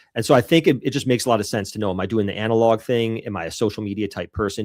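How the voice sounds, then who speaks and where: A man with an American accent speaks at a very fast pace and a fairly low pitch. The very clean recording has a silent background and a dry, close sound with no echo. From Rochester, New York. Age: 40s. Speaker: dog trainer and business consultant. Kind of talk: podcast interview.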